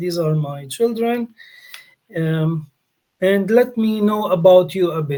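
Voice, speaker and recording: Here is a man with a Polish accent and a high pitch. He talks at a fairly slow pace with ordinary pitch variation. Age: 40s. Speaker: English teacher, workshop leader. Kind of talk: online language workshop.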